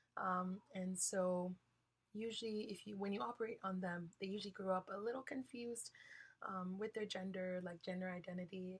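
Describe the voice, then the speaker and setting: Somewhat breathy and medium in pitch, a woman speaks at a moderate pace with fairly even intonation. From Hawaii, Kalihi (Oahu). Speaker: college student speaker. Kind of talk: guest talk in a class lecture. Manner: halting, many fillers.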